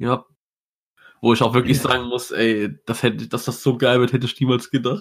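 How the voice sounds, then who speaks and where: A man's medium-pitched voice with vocal fry, a fairly quick pace, fairly even intonation, and long, frequent pauses. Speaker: podcast co-host. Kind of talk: casual chat.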